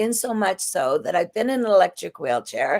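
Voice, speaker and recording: A woman's voice with vocal fry. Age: 60s. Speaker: drug law reform activist, retired police officer. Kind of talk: panel podcast discussion.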